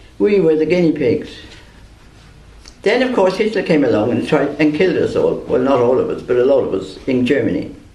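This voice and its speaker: Fairly quick speech in an Irish accent with very wide pitch swings, plus audible room echo and noticeable background noise. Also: man, fairly high pitch for a man. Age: 70s. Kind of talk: prepared speech read aloud. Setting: press conference.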